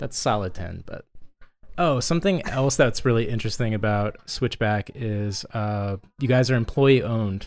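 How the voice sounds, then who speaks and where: An unremarkable speaking voice from a man, moderate pace, ordinary pitch variation. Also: medium pitch for a man. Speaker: podcast co-host and brewery co-founder. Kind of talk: casual chat.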